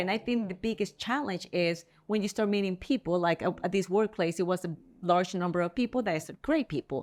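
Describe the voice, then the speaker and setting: A woman talks at a moderate pace with a strong Spanish accent and a medium pitch. The recording is very clean, with a silent background. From El Salvador. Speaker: real estate agent. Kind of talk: interview.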